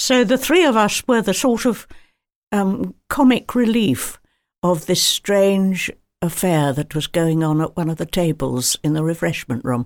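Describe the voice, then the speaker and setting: A woman with an RP accent speaks at a medium pitch, making very wide pitch swings. The recording is very clean, with a silent background. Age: 90s. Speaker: retired film actress. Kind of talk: interview. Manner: halting.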